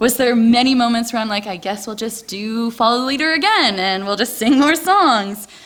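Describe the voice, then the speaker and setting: A woman with a fairly high pitch and lively intonation speaks at a fairly quick pace over noticeable background noise. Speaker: missionary volunteer. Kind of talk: testimony. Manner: loud and talkative.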